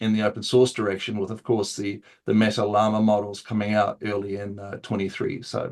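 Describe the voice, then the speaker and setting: A man with a New Zealand accent talks at a fairly quick pace in a fairly low pitch. His intonation is monotone and flat. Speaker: open source AI consultant. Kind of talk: interview. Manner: casual with many fillers.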